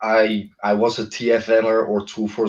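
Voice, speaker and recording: A man with a Dutch accent talks in a fairly low pitch with monotone, flat intonation. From Netherlands. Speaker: content creator. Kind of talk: interview.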